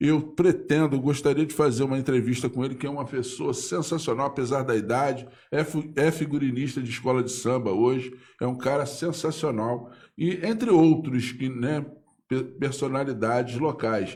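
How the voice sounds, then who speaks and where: A man speaks at a moderate pace in a medium pitch, somewhat breathy. His pitch varies in an ordinary way. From Brazil, Pau Grande (Magé, Rio de Janeiro state). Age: 60s. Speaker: local writer and political commentator. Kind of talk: casual live interview. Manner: halting, repetitive.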